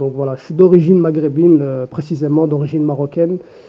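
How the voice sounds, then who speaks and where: The man speaking has a fairly high pitch. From Belgium, Brussels. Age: 20s. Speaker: patient giving testimony. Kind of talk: testimony. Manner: halting.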